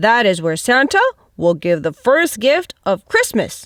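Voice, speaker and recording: Putting on a character voice, a woman talks fairly slowly in a fairly high pitch that swings very widely. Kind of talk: bedtime story. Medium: read story.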